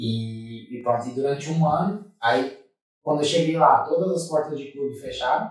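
There's a slight airiness to this man's voice, and his pitch rises and falls in a normal way. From Brazil, Santa Catarina (Tubarão). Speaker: former footballer and church ministry director. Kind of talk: interview testimony. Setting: studio.

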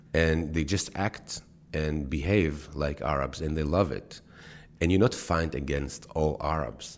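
A man with an Israeli accent speaks fairly slowly in a very deep, low voice with vocal fry and ordinary pitch variation. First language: Hebrew. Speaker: actor and TV creator. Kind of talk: interview.

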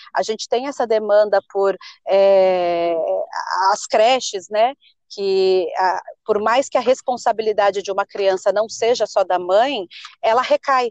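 A woman speaks with a medium-pitched voice. Her pitch varies in an ordinary way. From São Paulo state, Brazil. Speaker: city council candidate. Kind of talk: interview.

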